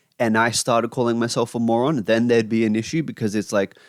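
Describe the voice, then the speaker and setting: Fairly quick speech in a very clean recording, silent background, with a dry, close sound and no echo. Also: man. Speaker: YouTuber talking to camera. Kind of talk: casual monologue rant. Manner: rambling, filler-heavy.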